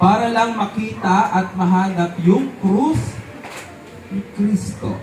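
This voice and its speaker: A man talks very slowly in a high pitch, with lively intonation and long, frequent pauses. Music plays in the background. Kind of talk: homily at an outdoor Santa Cruzan Mass, a priest preaching to a parish crowd. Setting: outdoors at a religious procession with a crowd. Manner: warm, unhurried and repetitive, stressing key words and drawing out the answers.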